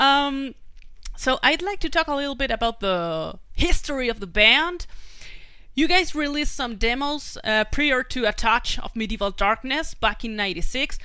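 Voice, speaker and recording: A woman's high, raised, projected voice with a Spanish accent, bright and sharp in tone, very wide pitch swings, moderate pace, on a very clean recording with a silent background. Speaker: podcast host. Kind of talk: interview.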